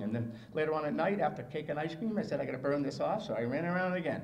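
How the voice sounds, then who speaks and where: With noticeable background noise and audible room echo, a man with an American accent speaks at a very fast pace, using a fairly high pitch and lively intonation. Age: 60s. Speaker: motivational speaker and marathon runner. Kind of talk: speech. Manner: animated.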